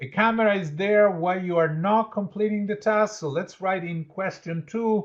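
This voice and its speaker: At a moderate pace, a man with an Italian accent speaks in a high pitch with ordinary pitch variation. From Italy. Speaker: leadership educator and change consultant. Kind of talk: interactive workshop. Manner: conversational, with fillers.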